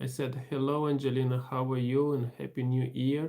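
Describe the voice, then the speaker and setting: Speaking at a fairly slow pace, the man keeps a monotone, flat intonation. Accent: Romanian. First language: Romanian. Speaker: livestream host. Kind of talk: casual livestream chat reading comments. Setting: live stream.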